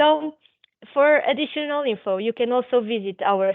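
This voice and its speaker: A woman with a Portuguese accent, fairly slow in pace, with ordinary pitch variation. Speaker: physiotherapist presenting a webinar. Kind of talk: webinar presentation. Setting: online webinar. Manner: halting, many fillers.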